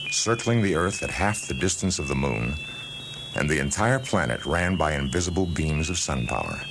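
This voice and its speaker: Over noticeable background noise, a man with a very deep, low voice talks at a moderate pace with lively intonation. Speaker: audiobook narrator. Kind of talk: audiobook narration of a science fiction story.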